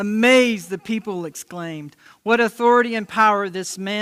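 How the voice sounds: What you hear is a natural reading voice.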